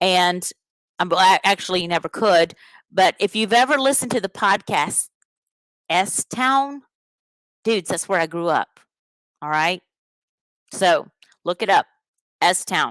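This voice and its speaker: In a Southern US accent, a woman speaks in an animated tone with lively intonation at a fairly slow pace, leaving long, frequent pauses, in a dry, close recording with no echo. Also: medium pitch for a woman, very clean recording, silent background. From US Deep South, rural Alabama. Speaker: podcast host, teacher. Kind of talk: live podcast monologue.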